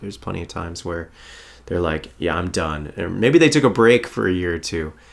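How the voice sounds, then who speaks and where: A man with a very deep, low pitch, ordinary pitch variation, a fairly quick pace and a slight Long Island accent. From New York, Long Island. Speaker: actor and musician. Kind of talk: casual chat.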